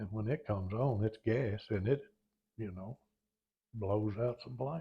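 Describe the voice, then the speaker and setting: A man with an American accent speaks at a fairly slow pace, his fairly low voice somewhat breathy. His pitch varies in an ordinary way. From Oklahoma. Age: 80s+. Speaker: retired firefighter. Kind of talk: oral history interview. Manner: halting.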